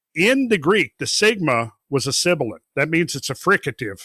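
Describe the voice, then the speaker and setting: Speaking with an American accent in an unremarkable speaking voice, a man uses lively intonation at a moderate pace, and the sound is dry and close with no echo. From rural Minnesota, US Upper Midwest. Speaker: independent researcher and geological explorer. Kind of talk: podcast interview.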